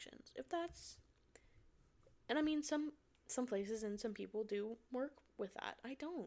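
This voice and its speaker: A woman's high-pitched voice with lively intonation, an animated tone and a moderate pace. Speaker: podcast host. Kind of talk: casual monologue.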